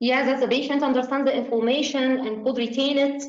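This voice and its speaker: Monotone, flat intonation comes at a fairly quick pace with audible room echo. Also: woman. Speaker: obstetrics exam tutor. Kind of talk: tutorial. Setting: video call. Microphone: video call.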